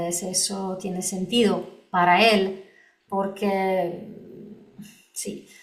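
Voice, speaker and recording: A Polish accent with audible room echo. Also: woman. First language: Polish (speaking Spanish). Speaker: lawyer and lecturer on EU wine law. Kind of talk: conference talk Q&A. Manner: halting, many fillers.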